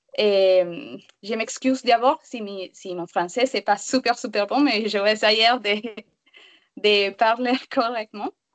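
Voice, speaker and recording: In a Spanish accent, a woman speaks very slowly at a fairly high pitch with ordinary pitch variation and big swings in loudness, the sound dry and close with no echo. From Venezuela. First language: Spanish (speaking French). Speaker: refugee, work psychologist. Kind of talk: testimony.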